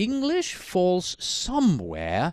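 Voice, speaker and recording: A man speaks with a Swiss German accent. The background is quiet. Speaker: instructor. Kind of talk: lecture.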